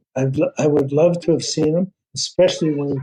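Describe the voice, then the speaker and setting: Somewhat breathy and dark, mellow in tone, a man's fairly high-pitched voice moves with fairly even intonation. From Northern Ontario, Canada. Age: 80s+. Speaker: former hockey general manager. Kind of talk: interview.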